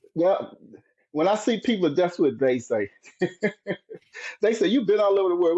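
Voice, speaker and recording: A man is speaking. He has a slight Southern US accent. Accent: slight Southern twang. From US South, rural southern Virginia (Dinwiddie County). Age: 60s. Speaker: marathon runner and retired military. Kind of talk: casual interview chat. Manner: animated, upbeat.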